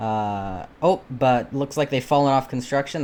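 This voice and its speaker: Talking at a fairly quick pace, a man has a normal speaking voice and a medium pitch. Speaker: shoutcaster auditioning. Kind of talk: live game commentary. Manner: casual, filler-heavy.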